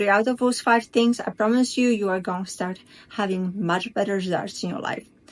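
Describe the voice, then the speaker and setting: With a non-native accent, a woman speaks at a moderate pace in a fairly high pitch. Her pitch variation is ordinary. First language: not English. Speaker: spiritual coach. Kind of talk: casual talk to camera. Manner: halting.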